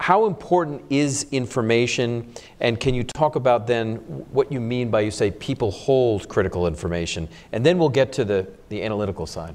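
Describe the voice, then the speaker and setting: Fairly quick delivery from a man with a normal speaking voice and a medium pitch. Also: lively intonation. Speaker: think tank moderator. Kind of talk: moderated panel. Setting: stage with audience.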